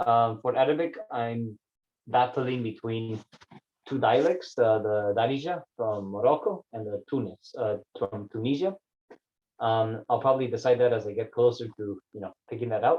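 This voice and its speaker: Speaking in a Spanish accent, a man keeps a medium pitch and a moderate pace. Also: ordinary pitch variation. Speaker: vlogger. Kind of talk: personal vlog monologue. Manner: casual, halting with many fillers.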